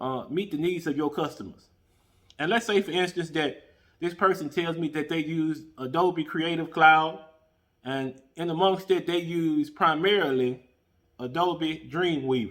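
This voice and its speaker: Speaking at a fairly slow pace, a man with a plain, everyday voice talks at a fairly high pitch. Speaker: podcast host. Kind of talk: tutorial.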